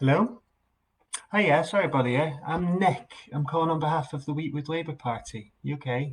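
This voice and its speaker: Somewhat breathy, a man with a Scottish accent speaks at a moderate pace, his pitch fairly high with ordinary variation. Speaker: political campaign volunteer. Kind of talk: phone canvassing call, live-streamed. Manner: hesitant, many fillers and restarts.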